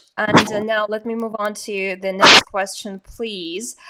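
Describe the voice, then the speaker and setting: At a fairly slow pace, a woman with a Russian accent speaks in a fairly high voice with fairly even intonation. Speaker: podcast host. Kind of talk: interview. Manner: halting.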